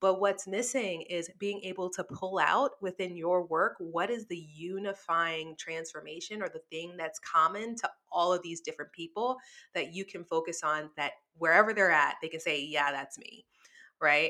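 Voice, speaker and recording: A woman with an American accent, fairly low in pitch, with a bright, sharp tone, ordinary pitch variation, big swings in loudness and a moderate pace, in a very clean recording over a silent background. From US South, New Orleans. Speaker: copywriting agency owner. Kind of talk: interview.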